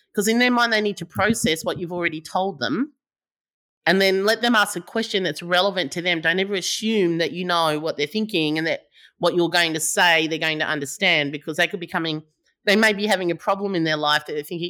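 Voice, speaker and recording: Talking at a very fast pace, a woman with a fairly low pitch, ordinary pitch variation and a bright, sharp tone comes through on a very clean recording with a silent background. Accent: Australian. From Australia, New South Wales (Sydney, Howlong near Albury). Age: 50s. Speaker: entrepreneur, startup founder. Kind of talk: interview.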